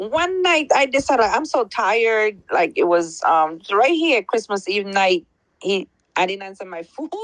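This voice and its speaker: With a Belizean accent, a woman talks at a fairly slow pace in a fairly high pitch, her voice making very wide pitch swings. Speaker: caller. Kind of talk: testimony.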